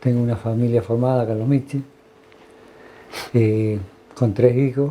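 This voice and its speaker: A man talks at a moderate pace and a medium pitch. His tone is dark and mellow, his intonation monotone and flat. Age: 60s. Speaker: retired health worker. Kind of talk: interview testimony. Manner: halting, many fillers.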